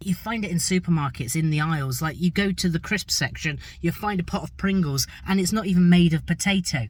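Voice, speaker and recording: On a very clean recording with a silent background, a man with an English accent speaks at a fairly quick pace in a high voice with ordinary pitch variation. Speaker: travel and food vlogger. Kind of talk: vlog narration.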